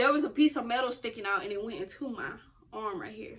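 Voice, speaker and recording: Her pitch is high for a woman, and her intonation moves in a lively way. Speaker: YouTube co-host. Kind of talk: storytime casual chat. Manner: loud.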